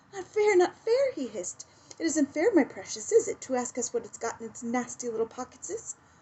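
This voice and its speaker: In a whiny put-on character voice with hissing, the speaker moves at a fairly quick pace through very wide pitch swings. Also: woman, high pitch for a woman. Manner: hissing, whining.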